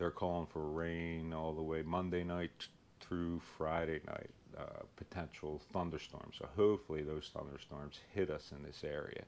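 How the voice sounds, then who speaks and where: A man with a strong Philadelphia accent talks at a moderate pace in a very deep, low pitch and a monotone, flat intonation. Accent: heavy Philadelphia. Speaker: lawn care YouTuber. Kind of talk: casual vlog tutorial. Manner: hesitant, many fillers.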